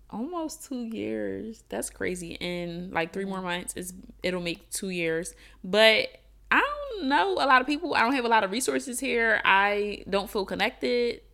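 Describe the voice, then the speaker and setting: A woman with a normal speaking voice at a medium pitch, lively intonation and a fairly slow pace. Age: 20s. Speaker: podcast co-host. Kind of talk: casual chat.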